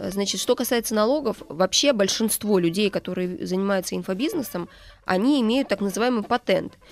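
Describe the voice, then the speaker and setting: A woman speaks in a normal speaking voice. Her intonation is lively and her pace fairly quick. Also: medium pitch for a woman. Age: 30s. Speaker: author and social media marketing agency co-founder. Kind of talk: radio interview. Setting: radio studio.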